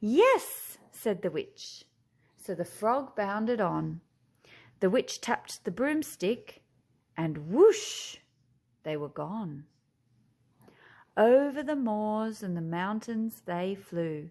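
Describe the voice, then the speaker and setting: A woman with an Australian accent speaks at a very slow pace, with long, frequent pauses. Her fairly high pitch moves in lively intonation, and the recording is very clean, with a silent background. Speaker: teacher. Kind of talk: children's picture book read-aloud.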